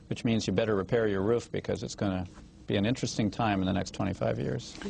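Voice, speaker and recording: With an American accent, a man talks at a very fast pace in a fairly low pitch with lively intonation. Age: 50s. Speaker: author. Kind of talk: TV interview. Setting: TV studio with small audience.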